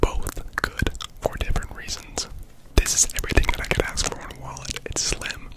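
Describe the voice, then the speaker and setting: The whispering moves at a moderate pace, with noticeable background noise underneath. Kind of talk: sponsor read in ASMR video. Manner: whispered.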